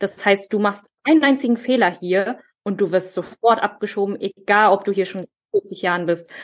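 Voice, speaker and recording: Recorded dry and close with no echo, a woman speaks at a moderate pace with ordinary pitch variation. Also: medium pitch for a woman. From Germany, child of immigrant parents. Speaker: podcast co-host. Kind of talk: casual chat. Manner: hesitant, many fillers.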